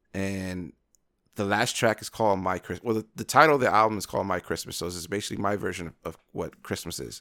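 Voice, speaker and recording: This man talks at a very fast pace, and the recording is very clean with a silent background. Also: fairly low pitch for a man, ordinary pitch variation. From Brooklyn, New York. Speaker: singer and podcast co-host. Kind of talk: casual chat.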